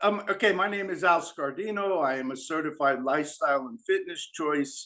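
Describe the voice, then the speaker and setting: A man talks at a moderate pace in a bright, sharp tone, his pitch moving in an ordinary way. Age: 70s. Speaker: life coach. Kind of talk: podcast interview.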